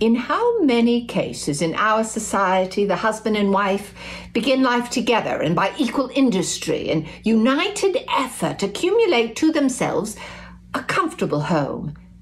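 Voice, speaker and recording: Noticeable background noise sits behind a woman speaking at a moderate pace. Her pitch swings very widely. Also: fairly high pitch for a woman, very even loudness. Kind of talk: historical speech reading.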